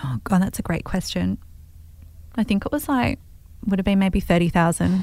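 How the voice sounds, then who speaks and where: An Australian woman's medium-pitched voice with a dark, mellow tone and lively intonation, at a moderate pace with long, frequent pauses. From Australia, Melbourne. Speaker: entrepreneur. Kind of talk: interview.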